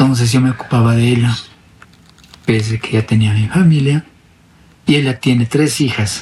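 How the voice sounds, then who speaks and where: A man with fairly even intonation and a medium pitch talks at a moderate pace, stopping for long, frequent pauses. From Bolivia, northern Potosí mining area. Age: 40s. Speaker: interviewee sharing his life story. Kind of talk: personal testimony interview. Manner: halting.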